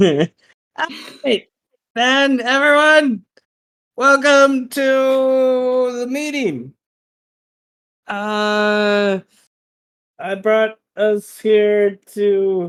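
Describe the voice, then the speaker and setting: A put-on character voice booms at a fairly high pitch, moving at a very slow pace with long, frequent pauses. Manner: commanding.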